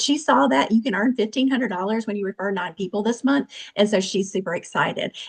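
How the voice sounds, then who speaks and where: The voice is somewhat breathy and the pace very fast. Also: woman. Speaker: direct sales team member. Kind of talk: testimony. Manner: animated.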